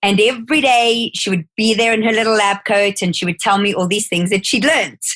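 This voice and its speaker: A woman's fairly high voice with a South African accent, dry and close with no echo. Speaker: skincare educator. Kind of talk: interview.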